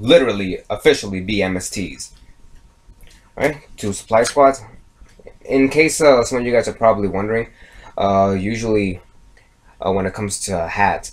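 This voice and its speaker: Speaking at a moderate pace with long, frequent pauses, a man with a fairly low pitch uses ordinary pitch variation. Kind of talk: casual card game deck profile talk.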